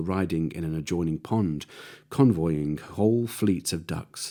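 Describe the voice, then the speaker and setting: Recorded very cleanly against a silent background, a man with a dark, mellow tone talks at a moderate pace with ordinary pitch variation. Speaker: storyteller. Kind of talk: audiobook reading. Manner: eerie edge.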